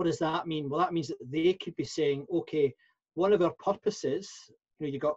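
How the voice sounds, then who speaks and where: Somewhat breathy speech in a Scottish accent, dry and close with no echo. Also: man. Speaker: professional speaker and workplace consultant. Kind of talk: interview. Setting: podcast interview. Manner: halting, many fillers and repeats.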